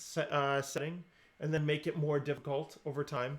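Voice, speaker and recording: This man has a fairly high-pitched voice. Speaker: computer science teacher; coding instructor. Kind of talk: live online coding lesson. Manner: casual, animated. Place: home room.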